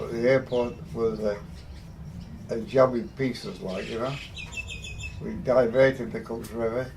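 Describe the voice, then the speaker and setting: A man with an English accent speaks at medium pitch and a fairly slow pace, with ordinary pitch variation and long, frequent pauses. Noticeable background noise runs underneath. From England. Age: 80s+. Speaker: heavy machinery construction worker. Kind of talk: interview answer.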